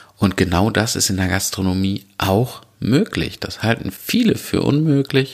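A man with an unremarkable speaking voice, lively intonation and a fairly slow pace. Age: 30s. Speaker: podcast host and restaurant owner. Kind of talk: solo podcast monologue.

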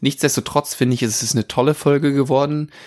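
A man, in a very clean recording with a silent background and a dry, close sound with no echo. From Würzburg, Franconia. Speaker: podcast host. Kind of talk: casual interview podcast. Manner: frequent filler hesitations.

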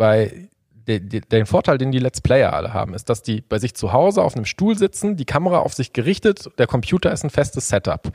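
Very wide pitch swings mark a man's somewhat breathy voice, delivered at a fairly quick pace in a dry, close sound with no echo on a very clean recording with a silent background. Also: medium pitch for a man. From Sauerland, western Germany. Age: 30s. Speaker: angler and fishing YouTuber. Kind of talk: casual chat.

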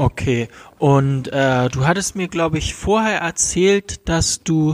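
A man talks at a very slow pace with lively intonation. The sound is dry and close, with no echo. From Germany. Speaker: podcast host. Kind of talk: casual interview. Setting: at his parents' home.

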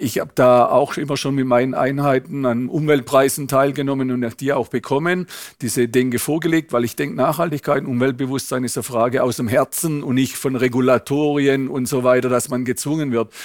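At a fairly quick pace comes an ordinary speaking voice with fairly even intonation. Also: man, medium pitch for a man. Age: 60s. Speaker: automotive executive. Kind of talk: interview.

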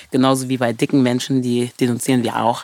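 A woman talks at a very fast pace in a very deep, low pitch. The sound is dry and close, with no echo. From Germany. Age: 30s. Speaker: choreographer. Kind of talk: interview. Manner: animated.

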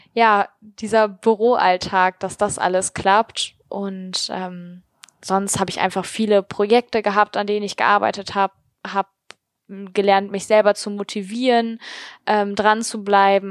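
A woman talks at a fairly slow pace and medium pitch, with monotone, flat intonation. The sound is dry and close, with no echo. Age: 20s. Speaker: podcaster and master's student. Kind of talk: interview.

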